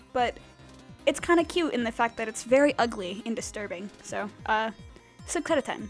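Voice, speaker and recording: Music plays in the background as a woman speaks at a moderate pace. Her pitch swings very widely. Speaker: digital artist. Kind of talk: casual rambling voiceover over a speedpaint. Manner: hesitant, many filler words.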